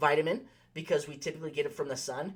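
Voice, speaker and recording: A man's very fast, animated voice, fairly high in pitch, with ordinary pitch variation. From US West, Las Vegas, Nevada. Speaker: pharmacist. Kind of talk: health talk with product recommendations. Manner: animated, many fillers and restarts.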